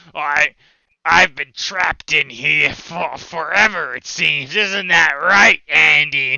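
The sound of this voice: A man puts on a raspy, croaky character voice, pitched fairly high for a man. He speaks at a fairly slow pace.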